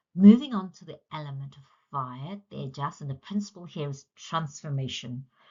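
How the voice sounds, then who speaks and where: A woman's very deep, low voice, somewhat breathy, with lively intonation, big swings in loudness and a moderate pace. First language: Punjabi. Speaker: yoga teacher. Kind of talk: lecture.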